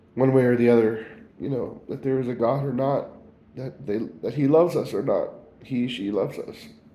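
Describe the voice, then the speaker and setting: A man speaks at a medium pitch with audible room echo. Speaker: video blogger. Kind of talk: personal spiritual reflection monologue. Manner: halting.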